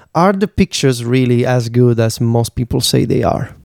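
This man's voice sits at a medium pitch with a dark, mellow tone. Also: dry, close sound with no echo. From Italy. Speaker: podcast co-host. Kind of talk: casual chat.

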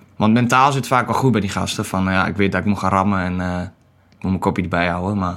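A man speaks very fast at a very deep, low pitch with fairly even intonation. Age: 20s. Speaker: marine recruiter. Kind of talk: podcast interview. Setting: studio.

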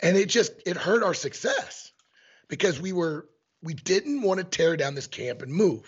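This man has a high-pitched voice with lively intonation. He talks at a fairly slow pace. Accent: American. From Missouri. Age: 50s. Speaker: elk hunting guide and e-scouting instructor. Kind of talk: casual interview. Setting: remote call with headphones.

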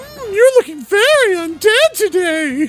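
The voice is a put-on character voice. Its pitch is extremely high. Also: fairly slow pace.

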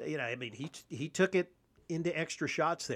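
The speaker is a man with an unremarkable speaking voice. He talks at a fairly quick pace, with ordinary pitch variation. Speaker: podcast host. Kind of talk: sports talk podcast, recap and analysis. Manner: conversational, chatty, upbeat.

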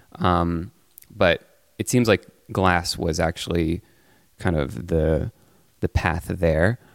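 Very slow, with long, frequent pauses, a man speaks at a very deep, low pitch in a dry, close sound with no echo. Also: ordinary pitch variation. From France. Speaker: software entrepreneur. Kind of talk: casual chat.

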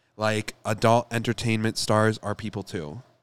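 A man with an American accent speaks in an ordinary speaking voice at a fairly low pitch and a moderate pace. The recording is very clean with a silent background and a dry, close sound with no echo. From Michigan. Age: 20s. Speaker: astrologer. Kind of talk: casual chat.

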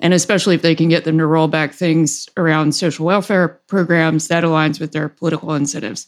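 A woman with a slight Southern US accent speaks at a moderate pace in a fairly low voice. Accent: mild Southern inflection. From US South. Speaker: podcast host, financial commentator.

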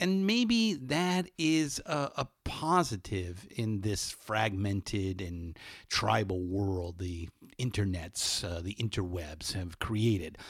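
In a Californian accent, a man speaks at a very slow pace in a very clean recording with a silent background. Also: lively intonation. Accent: General American (Californian). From Los Angeles. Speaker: podcast host. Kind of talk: spoken intro monologue; casual interview. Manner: frequent fillers and repetitions.

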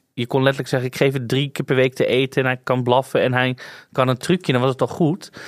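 A man with a plain, everyday voice talks at a fairly quick pace at medium pitch. The sound is dry and close with no echo, in a very clean recording with a silent background. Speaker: podcast host. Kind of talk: casual chat.

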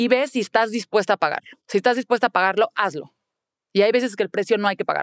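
A woman's fairly high voice at a very fast pace, with ordinary pitch variation and a dry, close sound with no echo. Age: 40s. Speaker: public relations professional and mother. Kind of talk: interview.

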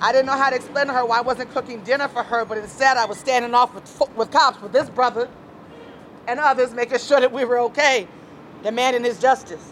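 Over noticeable background noise, a woman with an American accent talks very fast in a high pitch with fairly even intonation. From US West, Las Vegas, Nevada. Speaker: community organizer and activist. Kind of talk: interview.

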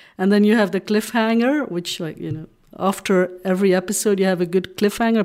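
On a very clean recording with a silent background, a woman with a Dutch accent and a medium pitch speaks at a fairly quick pace with fairly even intonation. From Belgium (Flemish). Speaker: romance novelist. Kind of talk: interview.

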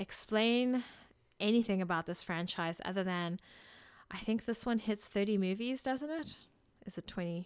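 A woman talks at a moderate pace on a very clean recording with a silent background. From South Africa. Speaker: podcast co-host. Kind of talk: casual chat.

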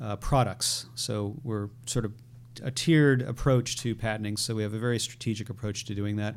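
With an American accent, a man speaks in an unremarkable speaking voice at medium pitch, his intonation fairly even. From Connecticut, US. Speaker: tech startup CEO. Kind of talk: interview.

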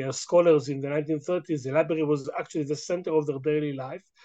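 A man's fairly high-pitched voice with an Israeli accent. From Israel, Jerusalem. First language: Hebrew. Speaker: history professor. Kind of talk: interview. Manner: halting.

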